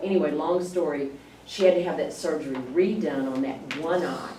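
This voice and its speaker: Moderate pace against noticeable background noise. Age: 60s. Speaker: church class member. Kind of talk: casual chat.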